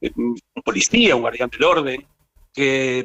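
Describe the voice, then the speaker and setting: The man speaking has a fairly high voice. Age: 70s. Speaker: psychiatrist. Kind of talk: radio interview. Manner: hesitant, many fillers.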